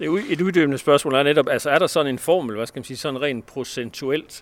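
A man at a medium pitch, talking at a very fast pace with ordinary pitch variation. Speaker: sports editor and podcast host. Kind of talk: interview. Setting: outdoors.

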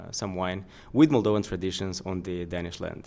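In a very clean recording with a silent background, the words come at a fairly slow speed. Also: man. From Moldova. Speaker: wine importer. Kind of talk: interview. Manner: halting.

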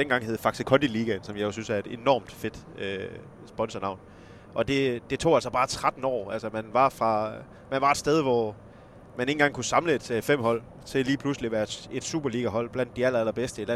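Here a man speaks with a West Jutland accent at a medium pitch. His pace is moderate, with ordinary pitch variation. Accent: West Jutlandic dialect. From West Jutland, Esbjerg area. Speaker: journalist and football club expert. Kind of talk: casual chat.

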